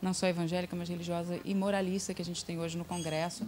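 A woman's voice over light background noise. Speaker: interviewee. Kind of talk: interview answer. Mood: earnest, engaged. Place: studio. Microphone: handheld.

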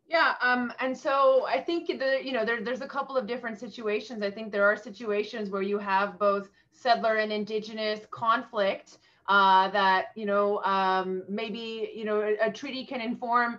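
Against a quiet background, a woman with a Canadian accent speaks in an unremarkable speaking voice. She keeps a moderate pace with hardly any pauses and ordinary pitch variation. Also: fairly high pitch for a woman. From Mi'kmaq First Nation, eastern Canada. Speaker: law professor. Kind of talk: interview. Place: home room. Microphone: webcam.

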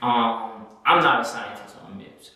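A man talks at a fairly slow pace. Strong room echo surrounds his voice. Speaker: product reviewer. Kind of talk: product review talk. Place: home room.

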